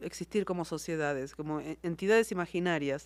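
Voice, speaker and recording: A woman speaks at a fairly quick pace in a fairly low pitch, with an Argentine accent. The recording is very clean, with a silent background. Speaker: novelist. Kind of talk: interview.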